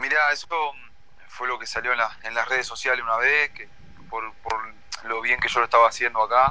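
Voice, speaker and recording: A man speaks at a fairly quick pace but leaves long, frequent pauses. His medium-pitched voice is monotone and flat, with big swings in loudness. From Uruguay. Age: 20s. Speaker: footballer. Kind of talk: interview.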